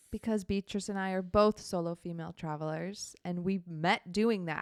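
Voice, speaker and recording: A woman speaks in a plain, everyday voice at medium pitch, with fairly even intonation. Her moderate pace comes through in a dry, close sound with no echo. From Minnesota, US Midwest. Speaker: podcast co-host, solo traveler. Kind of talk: casual chat.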